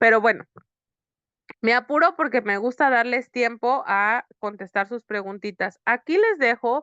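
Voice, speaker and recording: A woman speaks in a bright, sharp tone at a fairly high pitch with lively intonation. The sound is dry and close with no echo against a quiet background. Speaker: psychotherapist teaching workshop. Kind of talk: online lecture. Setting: online video session. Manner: fast.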